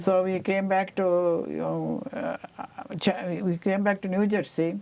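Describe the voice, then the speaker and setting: A woman speaks with an Indian accent. Her pace is very slow, and her pitch varies in an ordinary way. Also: medium pitch for a woman. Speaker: Indian immigrant, oral history interviewee. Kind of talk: oral history interview answer. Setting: studio.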